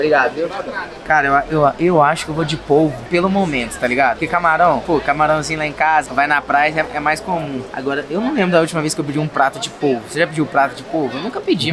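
Against crowd noise in the background, a man talks at a very fast pace with ordinary pitch variation. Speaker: food vlogger. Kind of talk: casual vlog chat. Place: cafe. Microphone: phone near.

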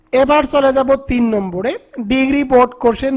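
Noticeable background noise fills the recording. The speaker is a man. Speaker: English tutor. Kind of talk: tutorial.

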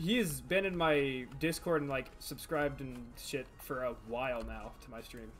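The man keeps a moderate pace with hardly any pauses and big swings in loudness. Light background noise sits underneath. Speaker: streamer. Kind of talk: casual gaming chat. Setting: live stream. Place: home room.

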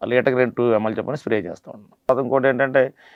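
Here a man with a medium pitch speaks in a plain, everyday voice with fairly even intonation. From Andhra Pradesh, Konaseema district. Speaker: coconut farmer. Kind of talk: interview explanation. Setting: studio.

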